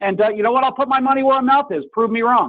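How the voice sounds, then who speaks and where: A man speaks loudly. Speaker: mortgage loan officer. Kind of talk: radio talk show. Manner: animated.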